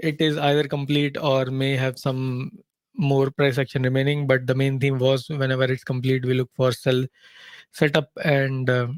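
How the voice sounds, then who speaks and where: A man speaks at a medium pitch in a flat, monotone way. His loudness stays very even, and the sound is dry and close with no echo. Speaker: trading analyst, webinar host. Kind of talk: live trading webinar. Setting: live online webinar. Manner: fast.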